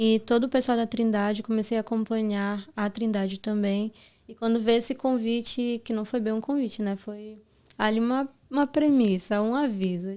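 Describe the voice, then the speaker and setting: Her tone dark and mellow, a woman speaks at a moderate pace with a fairly high pitch and fairly even intonation. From Brazil, Pará. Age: 20s. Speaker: gospel singer. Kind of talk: interview testimony.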